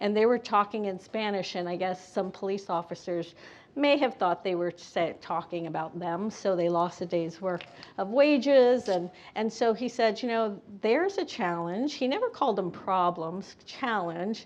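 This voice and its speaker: A woman with an American accent has a normal speaking voice at a medium pitch. She keeps a moderate pace with ordinary pitch variation. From Bethlehem, Pennsylvania. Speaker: panelist, educator. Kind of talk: panel discussion.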